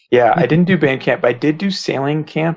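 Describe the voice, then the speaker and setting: This somewhat breathy man with an American accent talks at a moderate pace and a fairly high pitch. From US East Coast (Massachusetts, Virginia, DC, Maryland). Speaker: web developer, site creator. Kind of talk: casual podcast interview.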